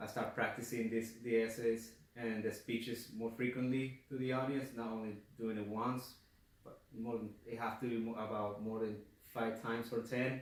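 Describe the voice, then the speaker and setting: In a room with audible echo and noticeable background noise, a man with a non-native accent speaks at a moderate pace in a monotone, flat intonation. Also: medium pitch for a man. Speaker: college student giving class speech. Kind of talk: class speech. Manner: halting, self-correcting; speeds up when nervous.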